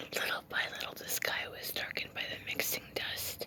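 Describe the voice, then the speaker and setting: A woman whispers at a moderate pace. Noticeable background noise sits behind her. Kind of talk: whispered ASMR book reading. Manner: whispered, soft.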